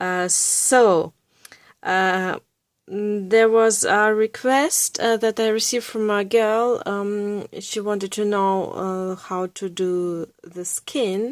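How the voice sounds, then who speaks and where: Very slowly, a woman speaks at a medium pitch with fairly even intonation. The sound is dry and close, with no echo. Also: very clean recording, silent background. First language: Russian or German. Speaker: art YouTuber. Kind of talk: tutorial. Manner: halting, many fillers.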